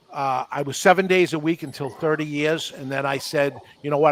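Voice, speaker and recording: A man's fairly high voice at a fairly quick pace, fairly even in intonation, dry and close with no echo. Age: 60s. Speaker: cigar shop owner. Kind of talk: casual chat. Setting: podcast. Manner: halting.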